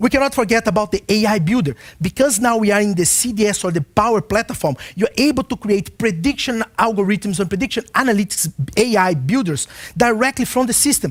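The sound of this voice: A man speaks at a fairly quick pace with few pauses. His high pitch rides on lively intonation.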